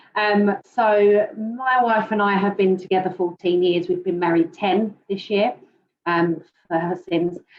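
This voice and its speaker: A woman speaks at a fairly slow pace with a British accent, her pitch medium and its variation ordinary. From UK. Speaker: panelist sharing fertility journey. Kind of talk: personal testimony on a panel.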